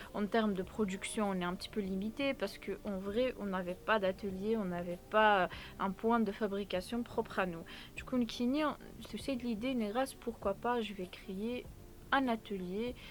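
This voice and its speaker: The speaker has a Kabyle accent. The pace is fairly slow. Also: woman, medium pitch for a woman, fairly even intonation. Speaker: entrepreneur and content creator. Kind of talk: testimony. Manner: hesitant, many fillers.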